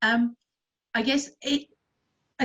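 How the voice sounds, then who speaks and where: Somewhat breathy, the voice varies in pitch in an ordinary way. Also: woman. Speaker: community centre trustee. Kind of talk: online meeting talk. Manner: fast.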